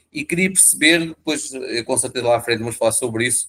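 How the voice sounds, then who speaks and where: Speaking in a European Portuguese accent, a man keeps a medium pitch and fairly even intonation. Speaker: interview show host. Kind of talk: interview introduction. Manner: halting, many fillers.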